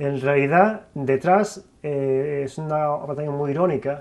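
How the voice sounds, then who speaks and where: Very slow male speech, fairly high in pitch with ordinary variation. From Galicia, Spain (Lugo). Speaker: visual artist. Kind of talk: interview. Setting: studio. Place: studio.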